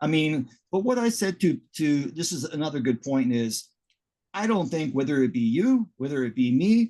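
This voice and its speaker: A man speaks with a dark, mellow tone and a fairly high pitch. His intonation is lively. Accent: Canadian. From Canada. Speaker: interviewer. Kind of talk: casual chat.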